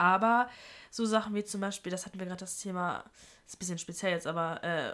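Very fast speech from a woman at a medium pitch, with ordinary pitch variation and big swings in loudness. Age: 20s. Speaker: university student. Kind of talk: casual chat.

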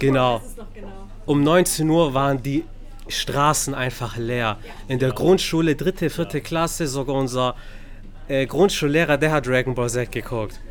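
A man's fairly high voice with ordinary pitch variation, at a fairly slow pace with long, frequent pauses. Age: 30s. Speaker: podcast host. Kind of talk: casual chat. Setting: bookstore.

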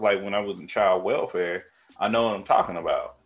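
Music plays behind a man speaking with an American accent. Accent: thick country. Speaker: podcast host. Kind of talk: casual, profane. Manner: energetic, emphatic talker.

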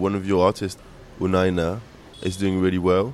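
A man with an English accent talks at a fairly quick pace in a very deep, low pitch. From England. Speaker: radio presenter and club DJ. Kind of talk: documentary narration and interviews. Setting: in a car.

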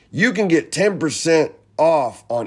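In a very clean recording with a silent background, a man with a normal speaking voice talks at a fairly slow pace with lively intonation. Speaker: podcast host. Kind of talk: casual chat.

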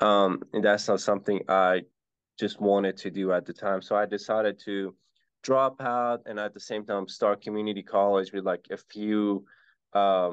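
A man with a plain, everyday voice at a fairly slow pace. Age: 20s. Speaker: real estate investor. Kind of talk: casual interview.

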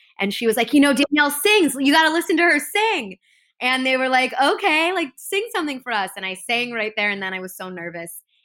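A woman's high, bright, sharp voice in an American accent, fairly quick, with very wide pitch swings, on a very clean recording with a silent background. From US Midwest, Chicago northern suburbs. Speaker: TV host and correspondent. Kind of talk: casual interview chat.

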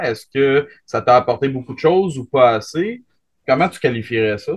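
In a Quebec accent, a man talks at a medium pitch with lively intonation. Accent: Québécois French. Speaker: podcast host. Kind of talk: casual chat.

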